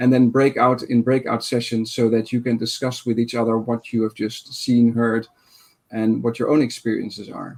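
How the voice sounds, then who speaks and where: A man speaks with a Dutch accent. His intonation is monotone and flat. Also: medium pitch for a man, moderate pace. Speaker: conference session moderator. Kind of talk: online conference moderation. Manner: halting, many fillers.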